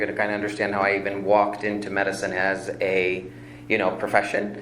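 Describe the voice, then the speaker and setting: Amid noticeable background noise and audible room echo, a man with a fairly low pitch talks very fast. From Chicago area, Illinois. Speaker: functional medicine practitioner, applicant. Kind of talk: public hearing testimony. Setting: village plan commission meeting.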